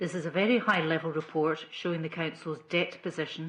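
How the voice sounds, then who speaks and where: A woman's fairly low-pitched voice with a Scottish accent. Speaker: council accountant. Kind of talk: formal report presentation. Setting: council committee meeting.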